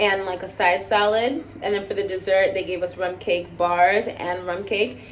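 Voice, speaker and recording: Over noticeable background noise, the speaker keeps a moderate pace with hardly any pauses and fairly even intonation. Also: woman, medium pitch for a woman. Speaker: travel vlogger. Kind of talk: vlog. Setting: hotel.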